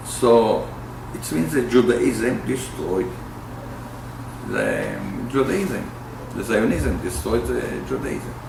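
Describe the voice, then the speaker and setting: A man speaks at a very slow pace. Audible room echo and noticeable background noise surround him. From Israel. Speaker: peace activist, bereaved father. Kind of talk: interview. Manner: halting.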